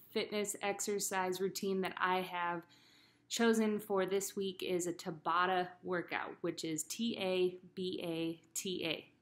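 A woman speaks with monotone, flat intonation. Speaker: fitness coach. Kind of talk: tutorial. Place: garage. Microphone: webcam.

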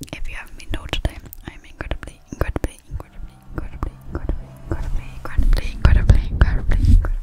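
Someone whispers softly. The words rush out at a very fast pace. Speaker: ASMR creator. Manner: soft close-mic ASMR whisper, repetitive. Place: home room. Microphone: studio mic.

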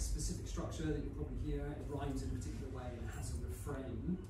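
Audible room echo and noticeable noise around a man's voice. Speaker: poet performing his own poem. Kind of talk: poem reading, light-hearted comic verse performed live after a chatty introduction. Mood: light-hearted, slightly hesitant. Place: hall. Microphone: camera far.

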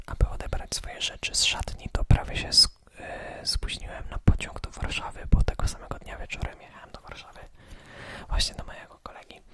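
Whispering at a moderate pace, a man is heard through noticeable background noise. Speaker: ASMR creator. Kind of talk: whispered ASMR vlog, casual talk to camera. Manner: whispered, relaxing.

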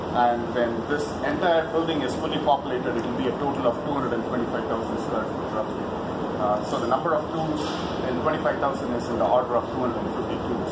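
Over loud background noise, a man talks at a very fast pace. His pitch varies in an ordinary way. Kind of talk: tour guide explanation. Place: factory.

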